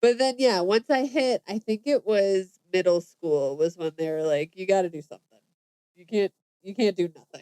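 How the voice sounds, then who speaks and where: A woman's medium-pitched voice in an American accent, dark and mellow, at a moderate pace with lively intonation and big swings in loudness, in a dry, close sound with no echo. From US East Coast. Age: 30s. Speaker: podcast host, doula. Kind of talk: casual chat.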